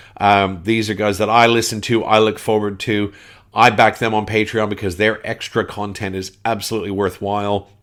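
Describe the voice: A man with a Canadian accent speaks at a fairly low pitch in a fairly bright tone.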